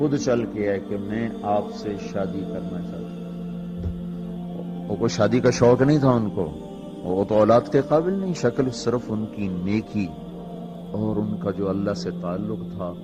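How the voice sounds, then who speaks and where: With music playing behind him, a man talks at a fairly low pitch, his voice making very wide pitch swings. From Pakistan. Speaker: Islamic scholar and preacher. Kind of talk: religious sermon. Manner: calm.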